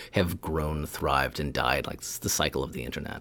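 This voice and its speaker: In a very clean recording with a silent background, a man talks at a moderate pace with vocal fry. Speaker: professor and TikTok educator. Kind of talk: casual interview chat.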